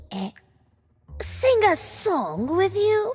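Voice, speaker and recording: Putting on a character voice, a woman speaks raspily at a very slow pace while faint music plays in the background. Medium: machinima. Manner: pompous, smooth.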